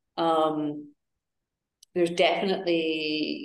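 In an Edinburgh accent, a woman speaks with a fairly low pitch. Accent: Scottish (Edinburgh). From Scotland, Edinburgh. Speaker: wellness coach and yoga teacher, cancer survivor. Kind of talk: casual interview chat.

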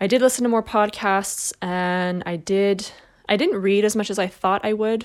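In a very clean recording with a silent background, a normal speaking voice moves at a moderate pace. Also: woman. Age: 30s. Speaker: solo podcast host. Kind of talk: casual monologue. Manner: casual, filler-heavy.

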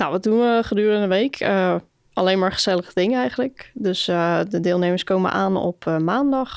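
A woman speaks at a medium pitch. She has a plain, everyday voice, and the background is quiet. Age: 20s. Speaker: summer camp leader. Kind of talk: casual interview.

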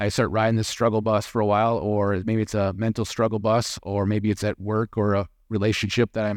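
A man's normal speaking voice, fairly low in pitch, with a dry, close sound with no echo and a quiet background. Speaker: church elder giving sermon. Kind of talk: sermon ending in a fervent, heartfelt prayer to God. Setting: church. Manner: earnest, sincere, warm and reverent; conversational, humble, lightly humorous.

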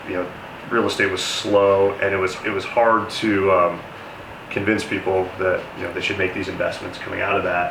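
Over noticeable background noise and audible room echo, a man with a General American accent talks at a moderate pace. His pitch is fairly low and his intonation monotone and flat. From Denver, Colorado, US. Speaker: real estate developer. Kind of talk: interview. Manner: hesitant with fillers.

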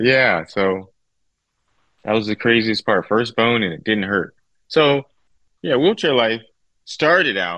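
Speaking at a fairly slow pace, a man uses lively intonation at a fairly low pitch. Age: 40s. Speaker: wheelchair user guest, former wrestler. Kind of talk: interview testimony.

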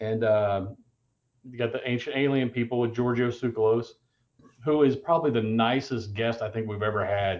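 This man has a normal speaking voice at a medium pitch with ordinary pitch variation. He talks at a fairly quick pace. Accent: American. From Indiana, US Midwest. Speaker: comic convention organizer. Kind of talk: casual chat.

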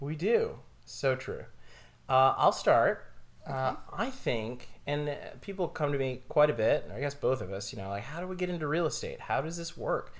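A man with a plain, everyday voice, fairly high in pitch, speaks at a moderate pace with lively intonation. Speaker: real estate agent and podcast host. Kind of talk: casual chat over wine, podcast. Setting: studio podcast, drinking wine. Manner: chatty, joking, easygoing.

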